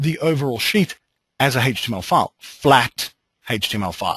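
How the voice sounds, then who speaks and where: Over a quiet background, a man with an Australian accent talks at a fairly high pitch with lively intonation. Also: dry, close sound with no echo. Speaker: software trainer. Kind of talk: webinar tutorial. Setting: online webinar.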